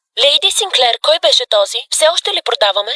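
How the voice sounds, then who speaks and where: Someone performs a put-on character voice at an extremely high pitch. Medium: fan dub. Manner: anxious, deferential.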